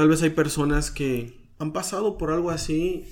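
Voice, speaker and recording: Over audible room echo, a man with a fairly high pitch speaks at a fairly slow pace. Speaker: podcast host. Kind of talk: casual interview. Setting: outdoors.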